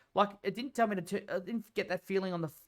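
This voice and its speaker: A man with an Australian accent speaks fairly quickly at a high pitch for a man, with music in the background. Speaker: gaming streamer. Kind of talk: casual chat. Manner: halting.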